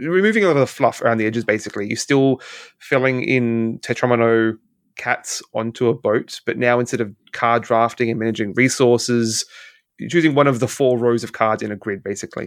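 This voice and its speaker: Fairly quick speech from a man with an Australian accent, fairly even in intonation, on a very clean recording over a silent background. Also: medium pitch for a man. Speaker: podcast host. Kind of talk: casual chat.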